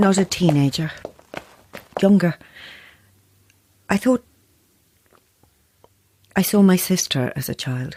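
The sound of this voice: In a put-on character voice, the speaker goes at a slow pace with long, frequent pauses, a slightly husky edge, a slightly mellow tone, and lively intonation. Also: woman, fairly low pitch for a woman.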